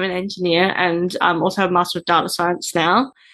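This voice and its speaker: A woman of medium pitch speaks at a moderate pace in a normal speaking voice against a quiet background. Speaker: podcast host. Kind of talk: interview.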